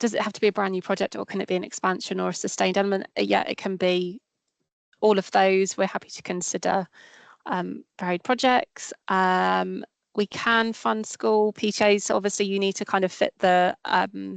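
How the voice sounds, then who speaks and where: Against a quiet background, a woman speaks in a dry, close sound with no echo. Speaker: grant fund officer. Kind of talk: webinar Q&A. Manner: fast.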